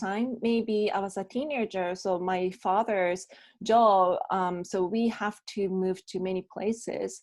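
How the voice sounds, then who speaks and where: In a quiet background, a woman with a Japanese accent speaks very slowly at a medium pitch with fairly even intonation. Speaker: bilingual MC and voice actor. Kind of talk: interview answer. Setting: video call.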